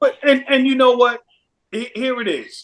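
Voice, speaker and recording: This man's pitch is extremely high. He speaks at a fairly slow pace. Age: 60s. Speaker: Air Force veteran. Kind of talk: casual chat.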